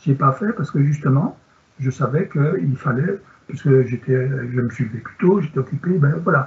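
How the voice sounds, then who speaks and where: Using an ordinary speaking voice, a man talks at a moderate pace in a fairly high pitch with lively intonation. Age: 60s. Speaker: sports medicine doctor. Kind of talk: Q&A answer; lecture.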